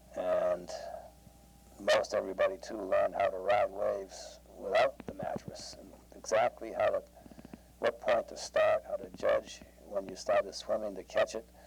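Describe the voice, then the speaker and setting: A man's loudness swings widely as he talks at a moderate pace over noticeable background noise. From Massachusetts, Boston area. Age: 60s. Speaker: family member sharing memories. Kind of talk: oral history interview. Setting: at home. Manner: halting, many fillers.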